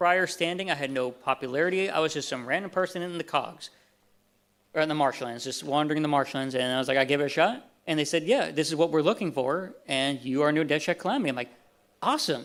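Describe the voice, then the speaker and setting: A man talks at a very fast pace in a Southern US accent. His pitch is fairly high and his intonation lively. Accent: natural Southern. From Texas. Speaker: convention panelist, voice actor for a fan animation. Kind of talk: convention panel talk. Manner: casual, halting with fillers.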